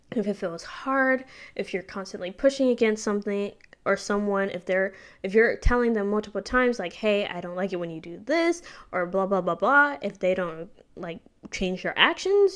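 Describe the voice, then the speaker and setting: A woman with an unremarkable speaking voice talks at a fairly quick pace, her medium pitch showing ordinary variation. Her loudness swings widely. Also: very clean recording, silent background. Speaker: YouTuber. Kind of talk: casual vlog monologue. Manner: casual with fillers and self-corrections. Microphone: new microphone covered with a sock.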